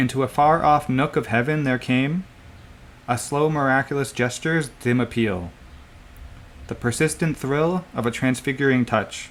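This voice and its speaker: Using a normal speaking voice, a man talks at a moderate pace with medium pitch and ordinary pitch variation. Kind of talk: poetry reading.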